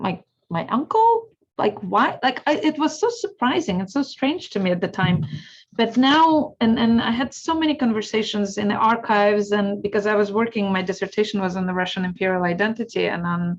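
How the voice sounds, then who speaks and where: A somewhat breathy woman's voice with a Ukrainian accent, fairly high in pitch, with lively intonation at a moderate pace. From Ukraine. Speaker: historian and speaker. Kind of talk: Q&A answer in an educational talk. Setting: video call.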